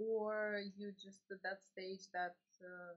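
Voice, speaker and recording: With a non-native accent, a woman is talking. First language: not English. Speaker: streamer and teacher. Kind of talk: casual chat. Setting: live stream. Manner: halting.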